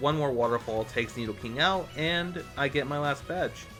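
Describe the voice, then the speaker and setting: Music plays in the background. A man speaks at a moderate pace with lively intonation. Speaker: gaming video narrator. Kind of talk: game playthrough narration.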